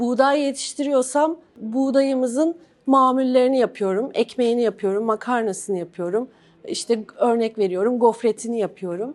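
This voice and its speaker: A woman talks high in pitch, keeping to a moderate speed. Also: ordinary pitch variation. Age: 40s. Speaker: organic farmer and entrepreneur. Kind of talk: award event talk.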